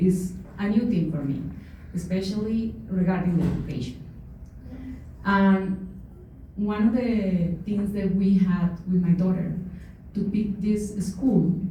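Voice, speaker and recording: With a Colombian accent, a woman at medium pitch speaks fairly slowly with long, frequent pauses, amid noticeable background noise and audible room echo. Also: fairly even intonation. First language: Spanish. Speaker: parent speaking at public comment. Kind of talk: public comment at school town hall. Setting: school town hall meeting. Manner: slow, deliberate.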